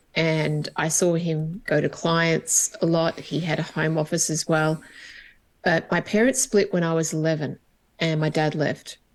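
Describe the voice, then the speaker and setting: Over a quiet background, a woman speaks with an Australian accent. Her pace is fairly slow and her pitch fairly low. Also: ordinary pitch variation. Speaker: HR coach and business owner. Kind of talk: interview conversation.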